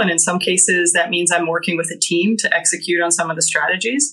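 Speech comes at a very fast pace with ordinary pitch variation over noticeable background noise. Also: woman. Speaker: banking security executive. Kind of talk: interview.

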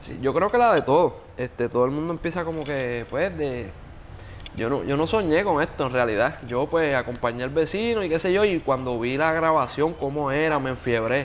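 With a normal speaking voice, a man talks at a moderate pace, his fairly high pitch carried by lively intonation. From Puerto Rico (Yauco). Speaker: music producer and singer. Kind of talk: casual interview chat. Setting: beach club.

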